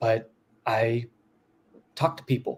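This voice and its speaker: Somewhat breathy, a man speaks at a moderate pace. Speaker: booktuber. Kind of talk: casual chat. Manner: laid back.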